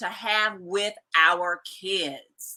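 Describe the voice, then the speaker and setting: A woman speaks in a bright, sharp tone. Her delivery is animated. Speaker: book club host. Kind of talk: casual group video chat. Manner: loud.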